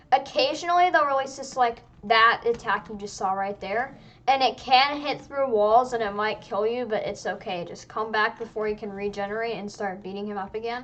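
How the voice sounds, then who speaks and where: An unremarkable speaking voice moves at a fairly quick pace with ordinary pitch variation and big swings in loudness. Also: woman, fairly high pitch for a woman. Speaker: gaming youtuber. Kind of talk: gameplay tutorial. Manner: casual, filler-heavy.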